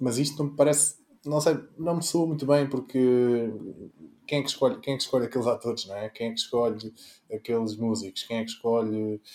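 With a dark, mellow tone, a man talks fairly quickly and uses ordinary pitch variation. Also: medium pitch for a man. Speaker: political party representative, panelist. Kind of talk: political panel discussion.

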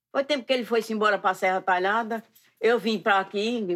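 Over a silent background in a very clean recording, a woman talks fairly quickly at a medium pitch. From Pernambuco countryside, Brazil. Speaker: costume maker and folk singer. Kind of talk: casual interview.

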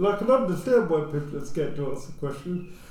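Talking at a fairly quick pace, a man with a high voice is heard over noticeable background noise. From England, Luton. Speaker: social housing executive. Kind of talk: casual discussion.

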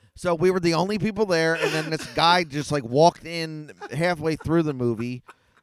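A man speaks with a South Philadelphia accent. His pitch is fairly high and his pace moderate. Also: ordinary pitch variation. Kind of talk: casual chat.

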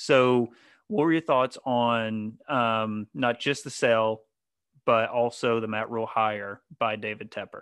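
A man with an American accent talks fairly slowly in a normal speaking voice, his pitch medium. His intonation stays fairly even against a quiet background. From North Carolina. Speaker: sports podcast host. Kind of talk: casual chat.

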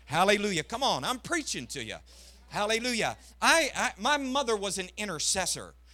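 Raised and projected, a man's voice carries a high pitch and a bright, sharp tone. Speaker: missionary preacher. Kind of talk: Pentecostal revival sermon, rising exhortation with congregational call-and-response. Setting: church service with congregation. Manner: impassioned, repetitive hammering cadence building to climaxes.

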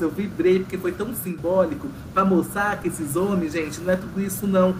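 A man with a high pitch speaks at a moderate pace and fairly even intonation. Noticeable background noise and audible room echo fill the recording. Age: 30s. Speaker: reality show commentator. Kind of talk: casual chat.

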